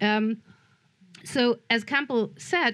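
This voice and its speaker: A woman speaks with ordinary pitch variation. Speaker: film scholar and festival programmer. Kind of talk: prepared panel talk read aloud. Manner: reading from notes, some halting.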